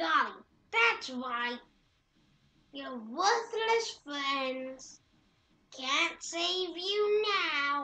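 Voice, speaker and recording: A woman uses a put-on character voice, high-pitched and delivered at a very slow pace. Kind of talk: game dialogue read aloud. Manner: taunting, menacing.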